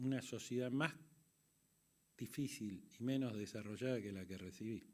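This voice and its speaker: A man speaks at a medium pitch, with ordinary pitch variation. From Argentina. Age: 60s. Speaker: conference moderator. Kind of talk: closing speech.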